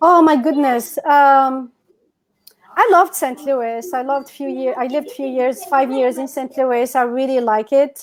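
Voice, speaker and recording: In a North African accent, a woman speaks at a high pitch with ordinary pitch variation. Her pace is fairly slow. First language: Berber. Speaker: entrepreneur and educator. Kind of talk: casual chat. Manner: animated.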